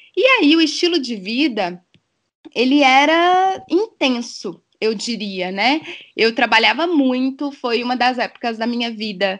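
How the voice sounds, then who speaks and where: A woman's high-pitched voice with lively intonation, at a very slow pace. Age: 30s. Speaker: dive instructor and biologist. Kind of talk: podcast interview.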